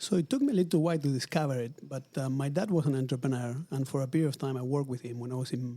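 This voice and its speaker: Racing at a very fast pace with hardly any pauses, a man speaks in a fairly high pitch with a dark, mellow tone. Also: ordinary pitch variation. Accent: Argentine. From Argentina, Buenos Aires. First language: Spanish. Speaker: luxury retail executive. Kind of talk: interview. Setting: in person at company headquarters.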